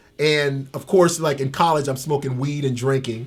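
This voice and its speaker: With an American accent, a man speaks at a fairly quick pace in a somewhat breathy voice with fairly high pitch. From Tampa, Florida. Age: 50s. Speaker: ex-convict. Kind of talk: interview. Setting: in-person interview. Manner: halting, repeats words.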